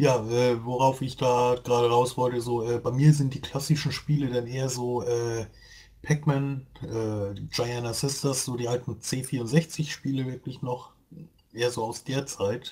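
A man's medium-pitched, monotone voice with flat intonation at a very slow pace. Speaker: gaming podcast co-host. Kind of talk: casual chat.

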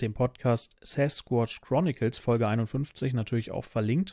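A man speaks at a very slow pace with a medium pitch and fairly even intonation. His tone is dark and mellow, and the sound is dry with no echo against a quiet background. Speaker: podcast host. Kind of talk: casual chat. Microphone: studio mic.

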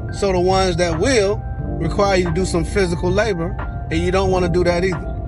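A man talks at a moderate pace. The sound is dry with no echo, and music plays clearly in the background. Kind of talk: casual vlog rant. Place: car. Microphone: phone near.

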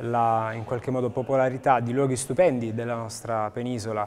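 A man's intonation stays monotone and flat, with light background noise present. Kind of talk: interview answer. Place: hall. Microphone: lapel.

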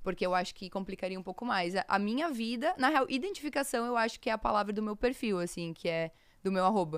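Against a quiet background, a woman talks very fast at a fairly high pitch with lively intonation, the sound dry with no echo. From Rio Grande do Sul interior, Brazil. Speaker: content creator. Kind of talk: casual interview. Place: studio. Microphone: studio mic.

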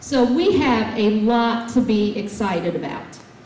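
Audible room echo surrounds a woman speaking at a high pitch. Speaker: presenter. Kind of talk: public meeting address. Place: hall.

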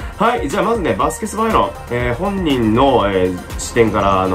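Clear music plays in the background while a man speaks at a fairly quick pace with very wide pitch swings. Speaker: football commentator. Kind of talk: casual talk to camera. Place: home room. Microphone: phone near.

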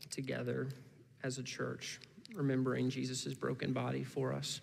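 Light background noise accompanies a man with an American accent. He talks at a moderate pace with very even loudness and long, frequent pauses. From US Midwest (Indiana). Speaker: guest preacher from a missions ministry. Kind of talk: sermon. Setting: church service. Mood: calm, personal, earnest. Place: church. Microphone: headset.

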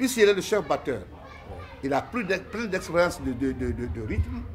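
Crowd noise sits behind a man who speaks at a fairly slow pace and a high pitch. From Guinea. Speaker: ballet company director. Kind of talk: interview. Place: home room. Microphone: phone near.

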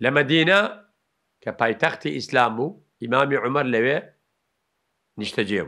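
A man's bright, sharp tone with big swings in loudness against a quiet background. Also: lively intonation, moderate pace. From Kurdistan. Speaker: Islamic preacher. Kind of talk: religious lecture. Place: studio. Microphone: studio mic.

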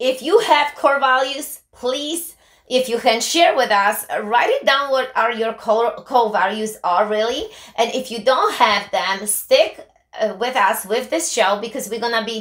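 A high-pitched woman speaks fairly slowly with ordinary pitch variation against a quiet background. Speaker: co-host. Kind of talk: talk show commentary. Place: office.

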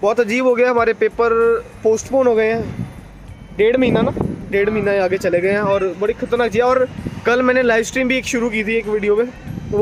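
Over music in the background, a man talks at a fairly quick pace in a high pitch with fairly even intonation. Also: dry sound with no echo. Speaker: vlogger. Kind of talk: casual vlog chat. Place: street. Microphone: phone near.

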